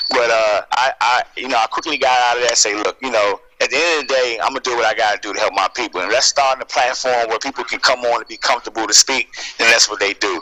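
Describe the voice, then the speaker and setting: A man talking very fast with hardly any pauses, in a dry, close sound with no echo and noticeable background noise. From US, Washington DC area. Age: 30s. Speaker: YouTuber and school worker. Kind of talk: radio interview. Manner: casual, many fillers.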